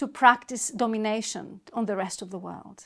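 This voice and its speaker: A woman with a Greek accent. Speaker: university lecturer. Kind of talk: lecture.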